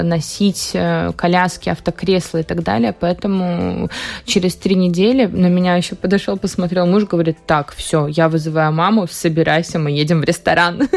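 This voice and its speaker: In a plain, everyday voice, a woman speaks at a moderate pace with fairly low pitch and fairly even intonation. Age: young. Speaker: hairdresser and beauty salon owner. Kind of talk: radio interview. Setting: radio studio.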